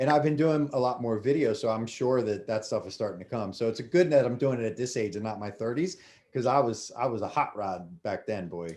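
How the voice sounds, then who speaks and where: Against a quiet background, a man with an American accent and a plain, everyday voice speaks at a fairly quick pace and medium pitch, with lively intonation and hardly any pauses. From US, Delaware. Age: 40s. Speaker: former chef and restaurant owner. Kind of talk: casual interview chat.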